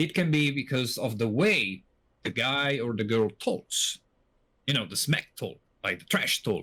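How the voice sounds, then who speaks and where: Speaking at a fairly slow pace, a man uses a medium pitch, lively intonation and a bright, sharp tone. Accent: Italian. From Italy. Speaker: podcast co-host. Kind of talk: casual podcast chat.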